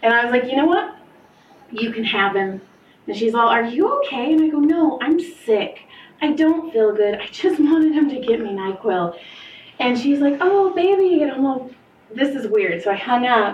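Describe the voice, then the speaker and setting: A woman speaks at a moderate pace with a high pitch and very wide pitch swings. Noticeable background noise sits behind her. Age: 30s. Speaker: podcast host and massage therapist. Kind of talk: casual chat.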